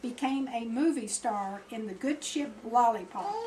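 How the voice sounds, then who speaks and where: An American accent comes through as a woman speaks at a high pitch and fairly slow pace. Noticeable background noise runs behind her. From Florida. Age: 70s. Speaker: grandmother telling family history. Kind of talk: reading aloud. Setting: birthday party with family.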